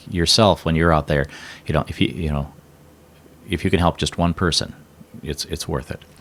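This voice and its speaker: A man's very deep, low voice with vocal fry, fairly quick in pace yet broken by long, frequent pauses. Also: fairly even intonation. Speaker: former radio broadcaster, emcee and auctioneer. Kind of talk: interview answer.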